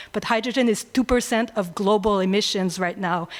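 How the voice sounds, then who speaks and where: A woman's fairly high voice with a French accent, fairly even intonation, and a very clean recording over a silent background. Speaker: energy researcher. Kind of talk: audience question at panel. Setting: conference room with audience. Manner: halting, many fillers.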